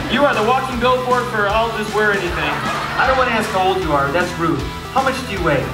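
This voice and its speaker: A man talks very fast while clear music plays in the background. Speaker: comedian and magician. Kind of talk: live stand-up crowd work. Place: stage.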